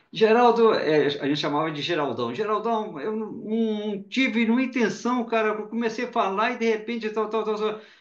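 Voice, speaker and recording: Audible room echo around a man speaking high at a moderate pace. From Brazil, Belo Horizonte (Minas Gerais). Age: 60s. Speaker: journalist and spiritist speaker. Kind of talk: interview testimony. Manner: conversational, some repetition and false starts.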